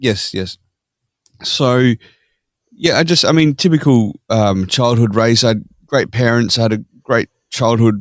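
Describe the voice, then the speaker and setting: A man speaks with an Australian accent. The recording is very clean, with a silent background. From Australia (Perth). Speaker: podcast guest. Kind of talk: casual interview chat.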